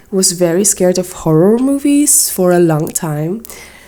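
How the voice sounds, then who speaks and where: Woman at medium pitch and a fairly slow pace, with noticeable background noise. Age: 20s. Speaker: digital artist and YouTuber. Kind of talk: storytime while drawing. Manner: animated; halting, repeats words.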